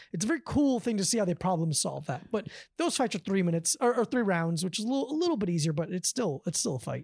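Somewhat breathy and medium in pitch, a woman speaks at a very fast pace with very wide pitch swings and hardly any pauses, captured in a very clean recording with a silent background. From Davie, South Florida. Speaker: comedian and martial arts trainer. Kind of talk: casual chat. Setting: host's living room.

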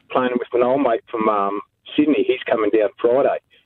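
Fairly quick male speech in an Australian accent. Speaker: charity golfer. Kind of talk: radio interview. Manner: halting, hesitant.

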